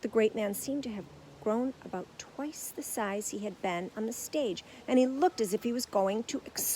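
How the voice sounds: The pitch moves in an ordinary way throughout a natural reading voice.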